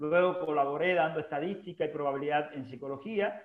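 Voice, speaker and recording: Audible room echo surrounds a man who talks at a fairly quick pace, his fairly high pitch held in fairly even intonation. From Cuba, Holguín. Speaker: university administrator and former teacher. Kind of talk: casual interview. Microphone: unstable internet connection.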